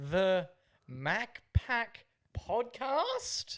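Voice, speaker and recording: A put-on character voice at a fairly high pitch. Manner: rising, questioning inflection.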